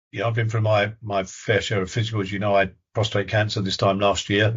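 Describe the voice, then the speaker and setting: Somewhat breathy and fairly low-pitched, a man talks with monotone, flat intonation. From southern England. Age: 70s. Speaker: retired police officer. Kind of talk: interview. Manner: halting, many repetitions.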